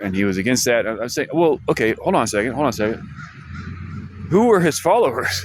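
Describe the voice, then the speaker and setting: Talking at a very fast pace, a man swings his medium-pitched voice very widely. He leaves long pauses often. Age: 50s. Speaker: vlogger. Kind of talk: casual monologue vlog. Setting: library. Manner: halting, many restarts and fillers.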